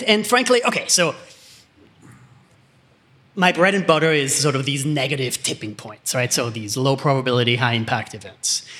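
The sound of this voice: With an Austrian accent, a man speaks at a medium pitch and a moderate pace, his tone bright and sharp and his pitch variation ordinary.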